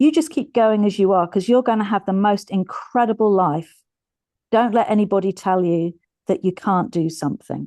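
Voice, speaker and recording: A woman speaks at a medium pitch in a dark, mellow tone, with ordinary pitch variation, very even loudness and a moderate pace against a quiet background. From Britain. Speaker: stand-up comedian. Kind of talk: casual interview.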